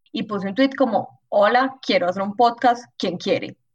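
There is some breathiness in the voice. The pitch moves up and down in an ordinary way. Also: woman. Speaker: biology student. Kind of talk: casual chat.

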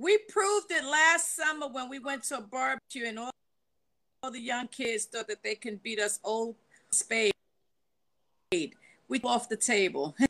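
A bright, sharp voice in a New York accent, with lively intonation, big swings in loudness, long, frequent pauses and a fairly slow pace. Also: woman, high pitch for a woman. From New York, the Bronx. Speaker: panelist. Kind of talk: casual chat. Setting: video call.

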